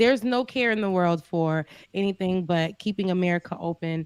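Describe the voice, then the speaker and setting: A woman with a slight Florida accent talks at a fairly quick pace in an animated tone with lively intonation, on a very clean, dry, close recording with no echo and a silent background. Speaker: live show co-host. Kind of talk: casual chat.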